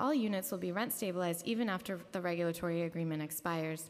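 A woman's voice at a very fast pace, with ordinary pitch variation. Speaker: city housing agency official. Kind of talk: formal testimony at public hearing. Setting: council chambers hearing room. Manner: frequent fillers, somewhat halting. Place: hall. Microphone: podium.

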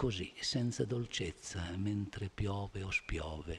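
A man speaks very slowly in a somewhat breathy voice, his pitch varying in an ordinary way. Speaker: poet reading to an audience. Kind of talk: poetry reading. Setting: theatre stage. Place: stage. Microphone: podium.

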